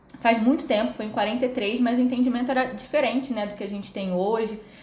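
The speaker is a woman. Room echo is audible. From Rio de Janeiro, Brazil. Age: 30s. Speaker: psychologist. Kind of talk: podcast interview, explanatory. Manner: hesitant, many fillers.

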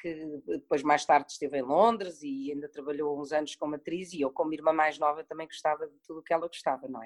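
A woman's very deep, low voice with ordinary pitch variation, at a fairly quick pace, in a dry, close recording with no echo. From Portugal, early childhood in Madrid. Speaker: actress. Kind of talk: casual interview.

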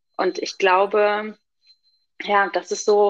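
A woman speaks with a medium pitch. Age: 40s. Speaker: working mother. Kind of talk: interview.

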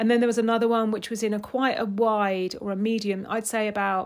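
A woman speaks with monotone, flat intonation. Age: 50s. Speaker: personal stylist, podcast host. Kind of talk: solo podcast monologue. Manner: casual, conversational with fillers.

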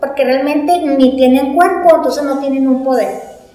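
Noticeable background noise and audible room echo surround a woman whose pitch varies in an ordinary way. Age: 50s. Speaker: business owner. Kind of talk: interview.

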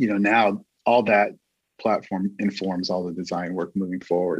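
A man speaks in a fairly low voice at a moderate pace. It is a normal speaking voice against a quiet background. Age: 50s. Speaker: creative director. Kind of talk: casual chat.

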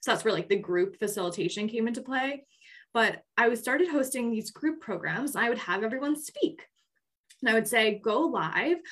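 This is a plain, everyday voice with an American accent. The intonation is lively and the pace moderate. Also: woman, fairly high pitch for a woman. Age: 20s. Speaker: podcast co-host, group facilitator. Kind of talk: casual chat.

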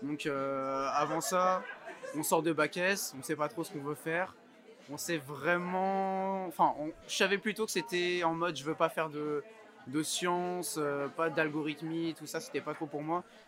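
With crowd noise behind him, a man speaks fairly slowly at a high pitch, varying it in an ordinary way. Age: 20s. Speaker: entrepreneur. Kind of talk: interview. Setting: rooftop. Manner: hesitant, many fillers.

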